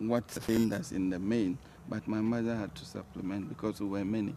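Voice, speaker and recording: A man's fairly low, dark, mellow voice with a Ghanaian accent. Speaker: talk show guest. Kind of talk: interview. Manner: soft-spoken.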